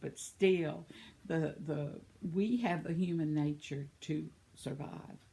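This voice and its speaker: Her voice sits at a very deep, low pitch, dark and mellow in tone, as this woman keeps her intonation fairly even. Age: 70s. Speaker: vlogger. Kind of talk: casual chat. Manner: rambling.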